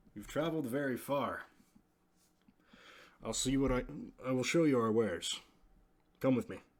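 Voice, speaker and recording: A man's put-on character voice at a medium pitch, moderate in pace with long, frequent pauses, on a very clean recording with a silent background. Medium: actual play. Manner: polite, refined.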